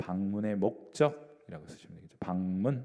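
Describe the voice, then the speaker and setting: The man's voice has a dark, mellow tone. His pitch swings very widely. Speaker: pastor. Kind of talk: bible study lecture.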